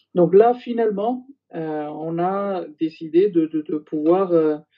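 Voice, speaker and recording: A man's high-pitched voice. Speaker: former intelligence general. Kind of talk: interview testimony. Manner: halting, many hesitations.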